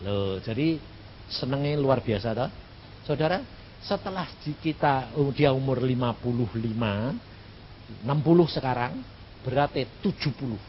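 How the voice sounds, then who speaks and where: Lively in intonation, a man with a medium-pitched voice speaks at a fairly slow pace. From Central Java, Indonesia. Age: 60s. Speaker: evangelist preacher. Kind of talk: sermon. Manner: casual, humorous.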